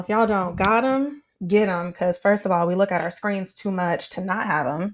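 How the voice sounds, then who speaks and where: A woman talks at a fairly quick pace with hardly any pauses, her pitch medium and its variation ordinary. Her tone is animated. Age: 20s. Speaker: podcaster. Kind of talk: casual monologue. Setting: livestream.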